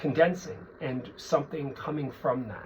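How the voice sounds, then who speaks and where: Noticeable background noise behind a man's fairly high-pitched speech. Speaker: psychic tarot reader. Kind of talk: tarot reading monologue.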